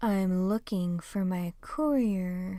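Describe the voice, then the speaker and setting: A woman in a put-on character voice at medium pitch, in a very clean recording with a silent background. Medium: read story. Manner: blunt, unsmiling.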